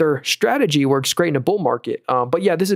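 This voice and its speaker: A man talks at a very fast pace with a fairly high pitch and lively intonation, the sound dry and close with no echo on a very clean recording with a silent background. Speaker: stock market streamer. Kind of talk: live stream commentary. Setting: live stream. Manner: casual.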